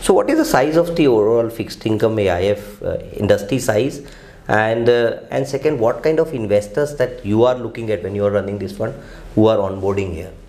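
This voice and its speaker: A man speaks at medium pitch. Noticeable background noise runs underneath. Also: ordinary pitch variation, fairly quick pace. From India. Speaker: investment platform founder and host. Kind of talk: webinar interview.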